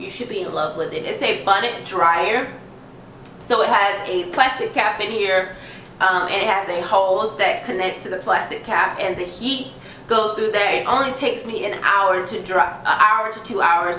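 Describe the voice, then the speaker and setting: Noticeable background noise runs under a woman's voice. She speaks at a moderate pace and medium pitch with ordinary pitch variation. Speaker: beauty vlogger. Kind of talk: product review tutorial. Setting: home video recording. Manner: animated.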